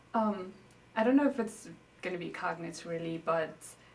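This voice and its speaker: There is audible room echo as a woman with a Nepalese accent speaks. Her voice is fairly low and her pace fairly quick. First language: Newari. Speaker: interviewee, native speaker. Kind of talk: interview. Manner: casual, hesitant with fillers.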